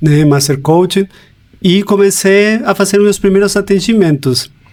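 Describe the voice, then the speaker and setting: A man with a Chilean accent at a fairly slow pace, against noticeable background noise. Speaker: life coach. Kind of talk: podcast interview.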